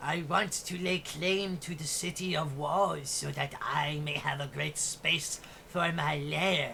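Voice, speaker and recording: In a put-on character voice at middle pitch, the speaker goes at a fairly slow pace with hardly any pauses, over clear background noise. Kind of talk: fantasy monster voice. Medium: actual play. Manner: grand, formal, slow.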